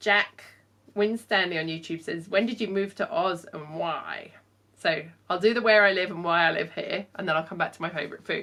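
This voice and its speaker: A woman with a southern English accent speaks at medium pitch and a moderate pace, using ordinary pitch variation. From southern England, Portsmouth. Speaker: fashion designer. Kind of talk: Q&A vlog. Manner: casual, with fillers.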